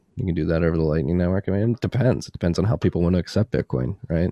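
A man talks very fast in a very deep, low pitch with a dark, mellow tone and vocal fry. His pitch variation is ordinary, and the sound is dry and close with no echo. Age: 20s. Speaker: bitcoin podcast host and newsletter author. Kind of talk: podcast interview. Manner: animated.

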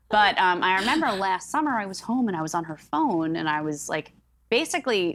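The speaker has an American accent and a fairly quick pace. The pitch swings very widely. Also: woman. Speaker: writer, podcast guest. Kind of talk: casual chat.

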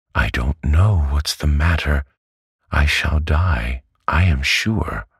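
Using a put-on character voice, a man speaks very slowly at a very deep, low pitch. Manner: faltering.

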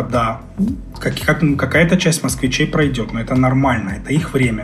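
The speaker is a man with a fairly high pitch. Noticeable noise is heard behind him. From Crimea. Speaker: finance Telegram channel creator, former journalist. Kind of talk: casual interview conversation.

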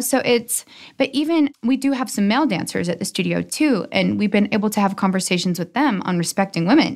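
A woman's fairly high pitch with lively intonation at a fairly quick pace. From Utah, US. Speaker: dancer and business owner. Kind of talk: interview. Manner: animated.

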